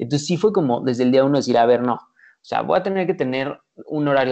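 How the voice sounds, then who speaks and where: His pitch sits in the medium range. The man talks at a very fast pace. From Mexico. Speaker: entrepreneur. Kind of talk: casual chat.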